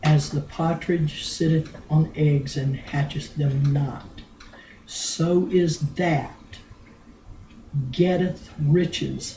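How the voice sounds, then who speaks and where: A woman's very deep, low voice at a very slow pace, with long, frequent pauses and fairly even intonation. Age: old. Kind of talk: Bible verse reading.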